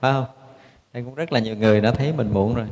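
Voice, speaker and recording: With ordinary pitch variation, a man talks at a medium pitch. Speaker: Buddhist monk, abbot. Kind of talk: dharma talk. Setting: temple. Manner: frequent filler pauses.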